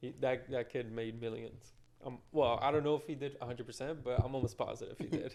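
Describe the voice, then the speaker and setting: At a fairly quick pace, a man talks with fairly even intonation and a medium pitch. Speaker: podcast co-host, interviewer. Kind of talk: casual interview chat. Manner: monotone; quiet.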